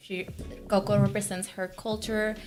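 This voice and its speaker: A woman talks with a Mexican accent. Her pitch sits in the medium range. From Mexico, Tamaulipas. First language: Spanish. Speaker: author, aircraft technician and former pageant queen. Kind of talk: interview.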